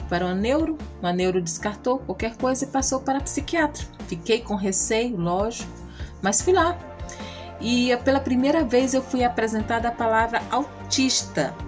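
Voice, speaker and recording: With a Brazilian accent, a woman speaks at a moderate pace as music plays in the background. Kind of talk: casual talk to camera.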